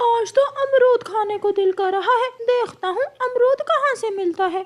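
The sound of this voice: Pitched extremely high, the cartoonish character voice delivers its lines at a moderate pace.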